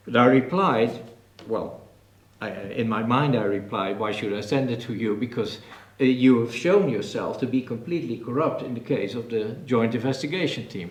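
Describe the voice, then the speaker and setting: A man's medium-pitched voice with ordinary pitch variation and audible room echo. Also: moderate pace. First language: Dutch. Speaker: professor and author. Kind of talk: press conference panel talk. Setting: press conference in a TV café.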